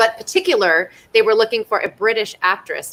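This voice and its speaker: A woman with a Californian accent, animated and fairly quick, her tone bright and sharp with ordinary pitch variation. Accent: General American, Californian. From US West, Simi Valley, California. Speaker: actress. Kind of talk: casual Q&A chat.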